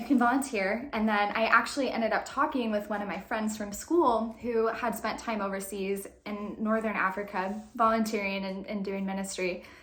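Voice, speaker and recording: There is audible room echo. A woman speaks at a fairly high pitch. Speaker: faith and lifestyle vlogger. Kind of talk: casual storytelling vlog. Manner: fast; animated.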